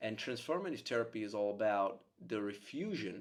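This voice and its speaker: Speaking at a moderate pace with a Czech accent, a man uses lively intonation and an animated tone. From Czech Republic. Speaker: psychotherapist. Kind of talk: monologue to camera.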